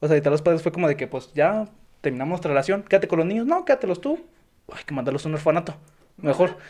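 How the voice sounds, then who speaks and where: Pitch runs high for this man, with ordinary pitch variation. He talks at a very fast pace. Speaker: podcast host. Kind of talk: casual chat; reading aloud.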